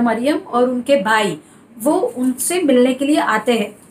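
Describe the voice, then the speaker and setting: Amid noticeable background noise, a woman with a high pitch speaks with ordinary pitch variation. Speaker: church preacher. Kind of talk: church sermon. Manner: conversational, Hindi mixed with English words.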